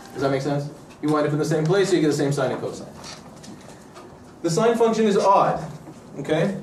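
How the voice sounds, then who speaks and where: Over noticeable background noise and audible room echo, a man with a fairly high voice talks very fast, with ordinary pitch variation and long, frequent pauses. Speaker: math lecturer. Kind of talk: lecture.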